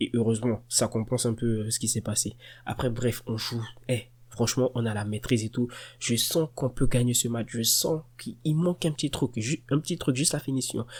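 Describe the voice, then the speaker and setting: Somewhat breathy, a man's voice sits at a medium pitch. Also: moderate pace, very clean recording, silent background. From Côte d'Ivoire. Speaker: football fan youtuber. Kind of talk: match reaction monologue. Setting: at home at night. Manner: soft-spoken; animated.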